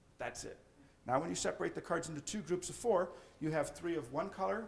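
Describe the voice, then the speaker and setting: Audible room echo surrounds a man whose high-pitched voice carries lively intonation. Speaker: magician. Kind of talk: lecture. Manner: fast.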